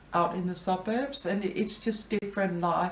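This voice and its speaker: Background noise is plainly audible. A woman talks over it. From Denmark, Copenhagen. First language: Danish. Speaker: interviewee, immigrant. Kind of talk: interview. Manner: hesitant, many fillers.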